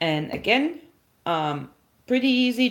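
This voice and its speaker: This is a woman speaking with a German accent. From Germany. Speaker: herbalist livestreamer. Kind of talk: live stream tutorial with chat. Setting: livestream. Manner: casual, halting with fillers.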